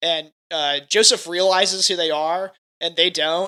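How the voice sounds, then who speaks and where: A man speaks loudly with a high pitch, a bright, sharp tone and fairly even intonation. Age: young. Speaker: podcast co-host. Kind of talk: casual chat.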